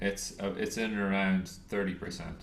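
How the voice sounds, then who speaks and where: A man speaks with a very deep, low pitch and an American accent at a fairly slow pace. His pitch varies in an ordinary way, and the room echo is audible. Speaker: trading educator. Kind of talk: lecture. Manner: halting.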